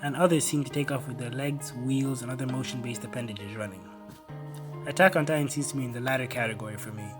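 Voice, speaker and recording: Music plays in the background as a man talks at a very fast pace. His pitch is medium, with ordinary pitch variation. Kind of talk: video essay narration.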